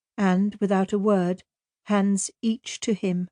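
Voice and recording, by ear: With a quiet background, someone is reading aloud in a natural voice, keeping a fairly even intonation.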